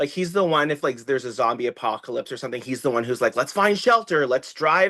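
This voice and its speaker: Loud and animated, a man talks very fast in a fairly high, bright, sharp voice with lively intonation over a quiet background. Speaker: TikTok creator and children's author. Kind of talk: casual chat.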